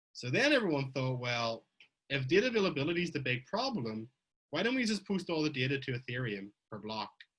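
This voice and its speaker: Fairly high in pitch, a man with an Irish accent speaks at a very fast pace. His pitch swings are very wide. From Ireland. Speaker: blockchain researcher giving a conference talk. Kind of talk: technical conference talk. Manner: conversational, with fillers and self-corrections.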